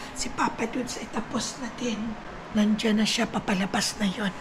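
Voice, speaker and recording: Over noticeable background noise and audible room echo, a woman talks at a fairly slow pace in a fairly high pitch with monotone, flat intonation. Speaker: vlogger. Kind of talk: casual vlog chat.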